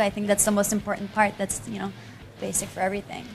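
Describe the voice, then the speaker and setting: Music plays behind a woman as she talks. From Quebec. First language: French. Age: 20s. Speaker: pop singer. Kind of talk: TV interview.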